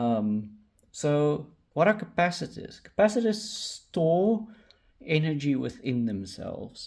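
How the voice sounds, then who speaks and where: A man at a fairly high pitch, very slow in pace, with very wide pitch swings. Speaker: electronics hobbyist tutorial creator. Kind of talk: tutorial. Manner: slow, deliberate pace; hesitant, many fillers.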